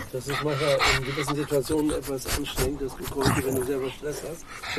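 Noticeable background noise sits behind a man talking at a moderate pace. His pitch is fairly high. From East Frisia, northern Germany. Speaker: local resident met on a hike. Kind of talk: casual interview.

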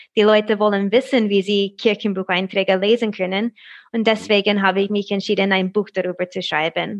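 A woman with an American accent talks fairly quickly at medium pitch, her intonation monotone and flat. The sound is dry and close, with no echo. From USA. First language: English (speaking German). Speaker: translator of old German handwriting. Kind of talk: interview. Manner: halting.

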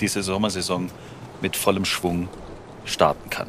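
Noticeable background noise sits under this recording. A man speaks through it at a moderate pace. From southern Germany. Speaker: podcast host. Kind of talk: scripted narration; casual interview.

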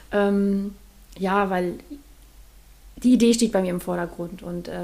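A woman of medium pitch with a dark, mellow tone. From Mecklenburg-Vorpommern, northeastern Germany. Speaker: artist. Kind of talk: casual interview. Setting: in-person studio recording.

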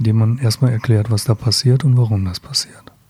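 A man speaks at a moderate pace and medium pitch, his intonation fairly even, over noticeable background noise. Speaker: psychotherapist. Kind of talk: interview.

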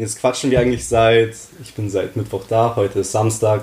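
At a moderate pace, a man speaks in a fairly low, somewhat breathy voice with monotone, flat intonation. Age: 20s. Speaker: student and calisthenics athlete. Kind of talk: casual chat.

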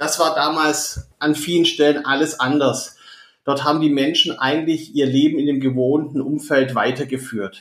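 With a Swabian accent, a man speaks in a monotone, flat intonation at a fairly high pitch. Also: moderate pace. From southern Germany, Stuttgart (Swabia). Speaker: management consultant. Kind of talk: interview. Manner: hesitant fillers.

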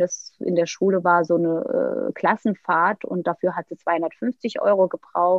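A woman talks very slowly, her medium pitch carried by fairly even intonation. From Turkey, Istanbul. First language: Turkish (speaking German). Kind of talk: interview, personal story.

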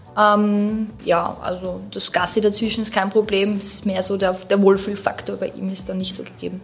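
Noticeable background noise runs under a woman's speech. She keeps a moderate pace with hardly any pauses. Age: 30s. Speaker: dog owner. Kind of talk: casual interview. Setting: studio.

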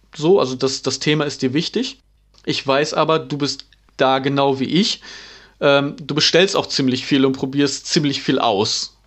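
A man's fairly high, unremarkable speaking voice, fairly slow, with fairly even intonation. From East Frisia, Emden. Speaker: podcast host. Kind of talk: casual chat.

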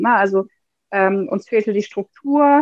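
This is a woman speaking at a medium pitch. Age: 30s. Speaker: physiotherapist and former course participant. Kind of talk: casual interview. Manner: hesitant, many fillers.

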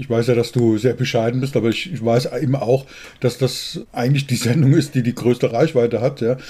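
Somewhat breathy and dark, mellow in tone, a man speaks at medium pitch and a moderate pace with fairly even intonation. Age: 60s. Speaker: podcast co-host, business coach. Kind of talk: interview.

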